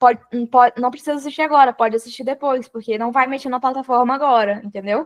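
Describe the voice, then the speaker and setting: A woman speaks at a fairly quick pace with a high pitch and fairly even intonation. The sound is dry and close, with no echo. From Brazil, Espírito Santo. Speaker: study mentor for public exams. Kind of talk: live online mentoring session. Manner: halting, many restarts.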